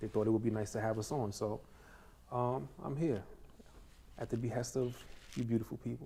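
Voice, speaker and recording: A man with a New York accent talks at a fairly quick pace in a fairly low pitch with a dark, mellow tone. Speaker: guest actor, former salesperson. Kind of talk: casual chat. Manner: hesitant, many fillers.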